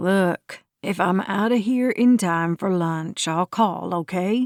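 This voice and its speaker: Putting on a gruff character voice, a woman speaks at a medium pitch. Her pace is fairly slow. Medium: read story. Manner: terse, few words.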